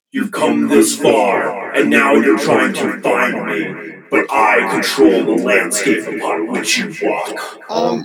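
With a slight echo, a man does a raspy put-on character voice at a very slow pace, with hardly any pauses. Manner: menacing, taunting.

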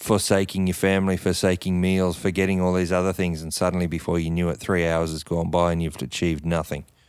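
With an Australian accent, a man talks at a very fast pace with hardly any pauses, his very deep, low pitch in monotone, flat intonation, in a very clean recording with a silent background. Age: 40s. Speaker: podcast co-host. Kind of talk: casual chat.

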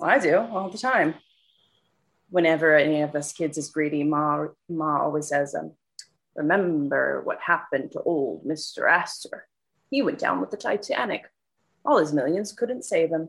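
A woman speaks at a moderate pace. Her speech has long, frequent pauses. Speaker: tenant character. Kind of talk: audio drama period dialogue. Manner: feisty, blunt, street-wise, with Italian-American flavor.

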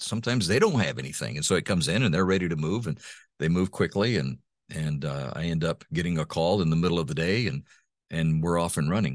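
A man's very deep, low voice with vocal fry and lively intonation, at a fairly quick pace, on a very clean recording with a silent background. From Honduras (raised by missionary parents). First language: Spanish (bilingual). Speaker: voice-over artist and former radio host. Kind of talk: interview conversation. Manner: halting, many repetitions.

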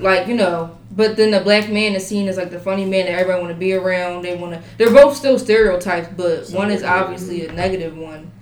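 Noticeable background noise sits behind a woman talking at a very fast pace. She hardly pauses, and her loudness swings widely. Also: medium pitch for a woman, ordinary pitch variation. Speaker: college student. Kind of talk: casual chat.

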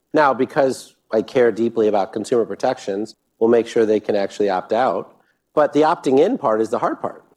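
Against a quiet background, a man with an unremarkable speaking voice talks at medium pitch and a fairly quick pace, with ordinary pitch variation. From US Midwest, Sterling, Illinois. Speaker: government energy official and clean energy investor. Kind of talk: live fireside chat. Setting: stage with audience.

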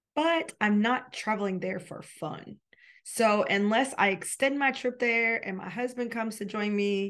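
A woman speaks in an animated tone at a fairly high pitch, with ordinary pitch variation against a quiet background. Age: 40s. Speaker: podcast host and pastor. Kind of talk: casual solo podcast talk. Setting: podcast studio.

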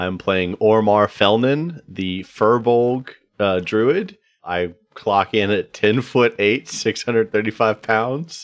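A man speaks in a normal speaking voice, fairly low in pitch with ordinary pitch variation. His pace is fairly slow. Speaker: player and podcast co-host. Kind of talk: casual chat, tabletop roleplaying game.

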